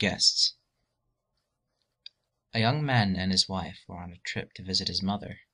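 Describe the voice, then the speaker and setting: Against a quiet background, a man with a very deep, low voice and a bright, sharp tone speaks at a moderate pace. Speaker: channel host reading scary stories. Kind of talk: scary story reading.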